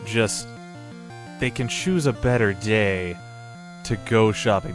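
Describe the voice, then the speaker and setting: A man's voice over music in the background. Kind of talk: casual talk to camera, gaming commentary.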